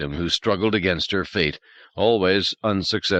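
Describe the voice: The voice reads plainly aloud, its pitch varying in an ordinary way.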